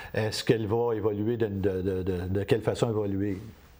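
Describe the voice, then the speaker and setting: Dark and mellow in tone, the voice keeps a monotone, flat intonation. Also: man. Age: 60s. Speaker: community TV station director. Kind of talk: interview. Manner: halting.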